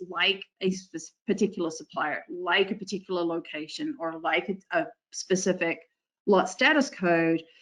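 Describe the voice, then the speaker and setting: The speaker talks at a moderate pace. It is a normal speaking voice. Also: woman. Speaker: software consultant presenter. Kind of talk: webinar software demo. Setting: online webinar.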